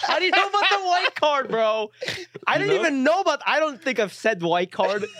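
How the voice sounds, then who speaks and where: Raised and projected, a man's voice sits at an extremely high pitch and swings very widely while his loudness stays very even. He speaks at a fairly quick pace over noticeable background noise. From Japan, raised in Ohio from age eight. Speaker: comedian and writer. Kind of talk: casual chat.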